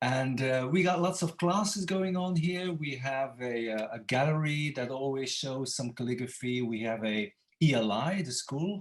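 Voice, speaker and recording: Lively intonation marks this man's medium-pitched voice. He talks at a moderate pace with hardly any pauses. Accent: Dutch. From Belgium (Flanders, Ypres). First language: Dutch. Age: 60s. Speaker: calligrapher, former Latin and Greek teacher. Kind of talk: interview.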